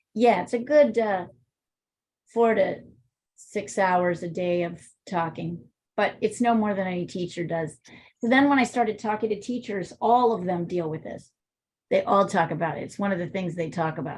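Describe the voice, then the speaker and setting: A woman speaks at a moderate pace with a medium pitch and ordinary pitch variation. Long, frequent pauses break up her speech over a quiet background. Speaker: art teacher. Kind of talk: online art class. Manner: loud.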